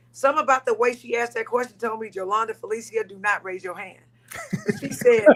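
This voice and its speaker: Against noticeable background noise, a woman with an American accent talks at a very fast pace. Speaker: politician. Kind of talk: panel discussion. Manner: animated.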